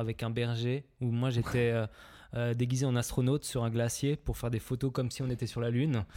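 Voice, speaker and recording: A man of medium pitch speaks at a moderate pace in a dark, mellow tone, his intonation monotone and flat and his loudness very even. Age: 20s. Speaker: film director, production company co-founder. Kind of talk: casual chat.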